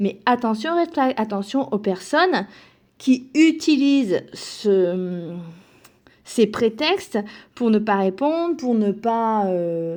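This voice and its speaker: Against a quiet background, a woman speaks at a very slow pace with a fairly high pitch, very wide pitch swings and long, frequent pauses. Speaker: self-help speaker. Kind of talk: motivational talk. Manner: halting.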